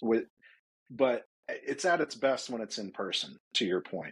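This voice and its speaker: A plain, everyday voice from a man with an American accent, medium pitch, ordinary pitch variation, a fairly slow pace and a dry, close sound with no echo. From US South, Atlanta. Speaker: startup founder. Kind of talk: casual interview.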